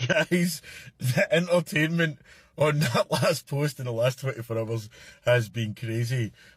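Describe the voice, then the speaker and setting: This speaker sounds somewhat breathy and moves at a fairly slow pace with ordinary pitch variation. The sound is dry and close, with no echo. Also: man, medium pitch for a man. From Scotland. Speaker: social media creator. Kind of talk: interview conversation; social media monologue.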